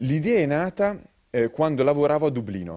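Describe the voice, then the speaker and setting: Lively intonation and a dark, mellow tone over a quiet background. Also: man. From Sardinia, Italy (Alghero); Sardinia, Italy. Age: young. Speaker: entrepreneur, coaching academy founder; interviewee. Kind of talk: TV news interview; interview answer. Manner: hesitant fillers. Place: studio. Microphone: handheld.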